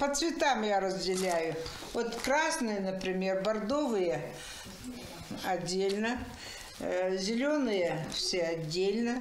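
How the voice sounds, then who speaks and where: A woman speaks at a very slow pace, with long, frequent pauses and very even loudness. Audible room echo and light background noise fill the recording. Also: lively intonation. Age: 80s+. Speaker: embroiderer, retiree. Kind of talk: interview answer. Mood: warm, amazed. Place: home room.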